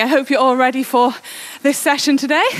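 Words pour out of a woman at a very fast pace. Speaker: indoor cycling coach. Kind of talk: workout instruction. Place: home room. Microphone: headset.

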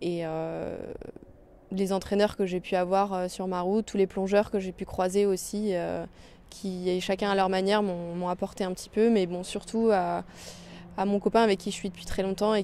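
A woman speaks at a medium pitch and moderate pace, in a dark, mellow tone with monotone, flat intonation. The sound is dry with no echo, over light background noise. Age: 20s. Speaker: athlete; interviewee. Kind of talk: interview. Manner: hesitant. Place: stadium. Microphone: handheld.

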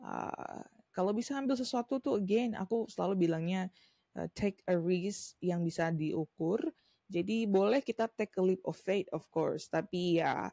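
A woman talks at a moderate pace with a dark, mellow tone. Her medium pitch shows ordinary variation. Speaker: tarot reader. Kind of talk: tarot reading monologue. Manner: casual, mixing Indonesian and English.

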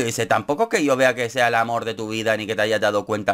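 A man speaks with a Canarian accent. His tone is animated. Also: quiet background. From Canary Islands (Gran Canaria); Canary Islands. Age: 30s. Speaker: YouTuber, TV show commentator. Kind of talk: casual commentary vlog. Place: home room.

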